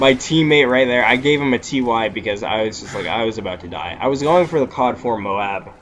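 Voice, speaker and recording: Over noticeable background noise, a man talks at a fairly quick pace and medium pitch with lively intonation. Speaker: gaming YouTuber. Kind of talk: gameplay commentary. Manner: casual, many fillers.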